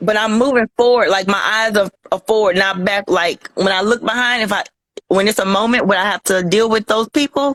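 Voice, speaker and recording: With an ordinary speaking voice, a woman talks at a fairly high pitch and a fairly quick pace, with fairly even intonation, very even loudness and a dry, close sound with no echo. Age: 30s. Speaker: guest describing a past relationship. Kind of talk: casual chat.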